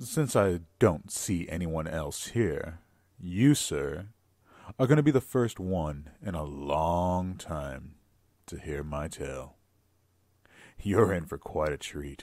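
A man's put-on character voice, very deep, low, gruff and rumbling, with lively intonation, big swings in loudness, a fairly slow pace and long, frequent pauses. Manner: wry, chuckling.

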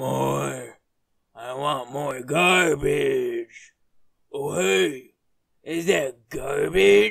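Using a put-on character voice, a man speaks very slowly at a fairly high pitch, with long, frequent pauses. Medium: dub.

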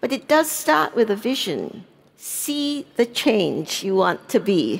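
Speaking very slowly with vocal fry, a woman moves through very wide pitch swings. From Singapore. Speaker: internet policy advocate; speaker. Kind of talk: panel discussion. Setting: stage with audience. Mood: earnest, warm. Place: stage. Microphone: headset.

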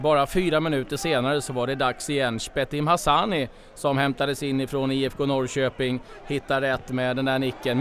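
Over noticeable background noise, a man at a medium pitch speaks at a moderate pace with fairly even intonation. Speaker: sports commentator. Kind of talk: live sports commentary, match highlights voiceover.

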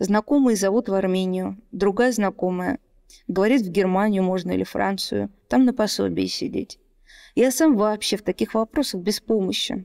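A dark, mellow tone carries through at a moderate pace, with ordinary pitch variation and a quiet background. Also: woman. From Russia, Moscow; Russia. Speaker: poet and lawyer; poet, lawyer. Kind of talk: interview. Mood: calm, quiet. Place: home room. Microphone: studio mic.

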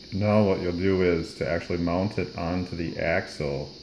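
Speech comes at a fairly slow pace with ordinary pitch variation over noticeable background noise. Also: man. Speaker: RC car hobbyist. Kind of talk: casual how-to tutorial. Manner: mumbly. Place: workshop. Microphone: phone near.

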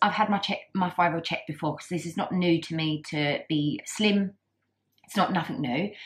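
Lively intonation in a somewhat breathy female voice. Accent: British. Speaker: vlogger. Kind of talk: casual vlog talk. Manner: halting, many fillers.

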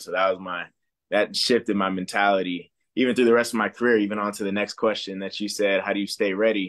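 A man with an American accent speaks fairly quickly in a fairly low pitch, with monotone, flat intonation and a quiet background. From Southern California. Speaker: professional football player. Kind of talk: interview. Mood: warm, smiling, reflective. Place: home room. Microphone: video call.

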